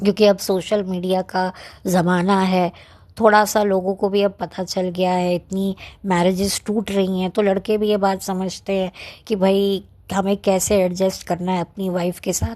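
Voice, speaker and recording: Against a quiet background, a woman speaks in a monotone, flat intonation with a dark, mellow tone. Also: medium pitch for a woman. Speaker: YouTuber film reviewer. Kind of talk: casual monologue film review. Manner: soft-spoken.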